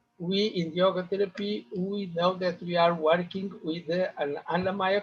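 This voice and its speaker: A man with a non-native accent speaks in a high-pitched voice. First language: not English. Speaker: yoga therapist. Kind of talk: conference talk. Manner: halting.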